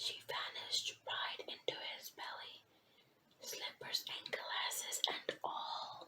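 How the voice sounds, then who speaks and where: The speaker is whispering. The pace is very slow. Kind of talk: ASMR read story. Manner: whispered.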